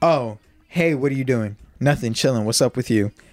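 In a dry, close sound with no echo, a man with a normal speaking voice talks at a moderate pace and ordinary pitch variation. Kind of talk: casual chat. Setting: studio.

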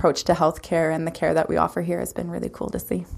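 A woman speaks with a Canadian prairie accent. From Saskatchewan, Canada (Lumsden, near Regina). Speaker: naturopathic doctor. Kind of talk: interview.

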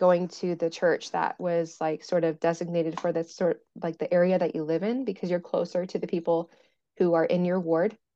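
A woman with an American accent and a normal speaking voice, at a fairly quick pace. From US Midwest, rural western Indiana. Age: 20s. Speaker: mental health advocate. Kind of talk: casual interview.

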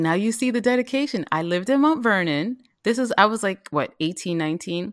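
A woman with a New York accent speaks at a moderate pace, her pitch swinging very widely, in a dry, close recording with no echo that is very clean against a silent background. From New York City (South Bronx). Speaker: vegan chef. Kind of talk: casual interview.

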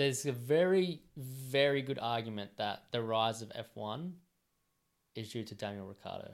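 A man with an Australian accent at a medium pitch, moderate pace and ordinary pitch variation, with big swings in loudness. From rural New South Wales, Australia. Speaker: podcast co-host. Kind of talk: casual chat. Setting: home studio.

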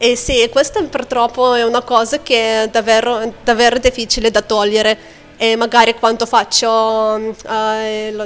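With monotone, flat intonation, a woman talks fairly slowly in a fairly high voice. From Lithuania. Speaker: English teacher and pianist. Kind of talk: interview chat.

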